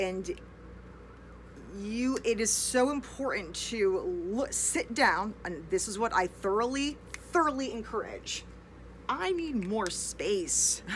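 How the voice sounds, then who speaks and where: A woman speaks with an American accent. She talks very slowly, leaving long, frequent pauses. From United States. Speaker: English teacher. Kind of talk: casual online lesson. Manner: unscripted, rambling train of thought.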